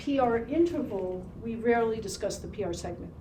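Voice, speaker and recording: Room echo can be heard as a woman talks at a moderate tempo. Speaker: ECG instructor. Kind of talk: classroom lecture. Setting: classroom with students.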